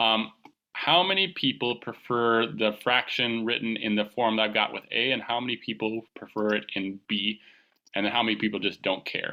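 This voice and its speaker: A man speaks at medium pitch with ordinary pitch variation. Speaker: high school calculus teacher. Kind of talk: online class lecture. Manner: fast; casual, conversational.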